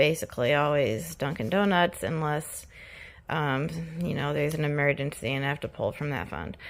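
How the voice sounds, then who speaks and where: On a very clean recording with a silent background, a woman speaks at a very deep, low pitch with vocal fry and ordinary pitch variation. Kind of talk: casual talk to camera. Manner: slow.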